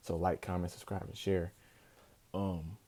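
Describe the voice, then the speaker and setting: A man with a very deep, low pitch and a dark, mellow tone is heard on a very clean recording with a silent background. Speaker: wrestling YouTuber. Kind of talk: casual show review. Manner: fast; animated.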